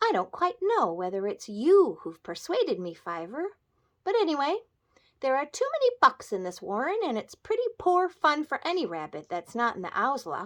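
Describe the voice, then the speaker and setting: A woman puts on a character voice, pitched high, with very wide pitch swings at a moderate pace. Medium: read story.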